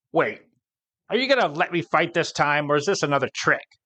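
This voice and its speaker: A man puts on a character voice pitched high. He speaks at a fairly quick pace. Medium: read story. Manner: brash, wisecracking.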